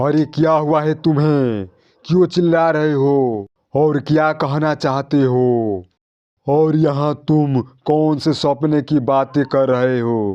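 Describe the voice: A man uses a cartoonish character voice pitched fairly high. He speaks at a very slow pace.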